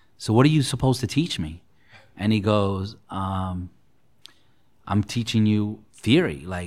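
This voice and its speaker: This is an ordinary speaking voice, a man's, at a fairly low pitch with ordinary pitch variation. The recording is very clean, with a silent background. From New York City (Queens), born in Puerto Rico. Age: 40s. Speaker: real estate broker. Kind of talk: interview.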